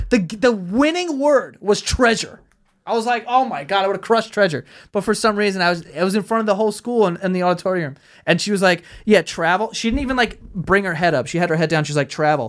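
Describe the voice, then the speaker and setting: In a very clean recording with a silent background, a man with an American accent talks at a very fast pace. His voice is high-pitched, with lively intonation. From Queens, New York (Astoria). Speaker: podcast host and YouTuber. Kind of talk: casual chat.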